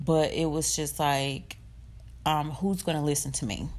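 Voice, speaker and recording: A woman is talking. Her voice sits very deep and low. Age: 20s. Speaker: podcast host and college student. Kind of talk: casual personal monologue, faith testimony. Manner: unscripted, conversational with fillers.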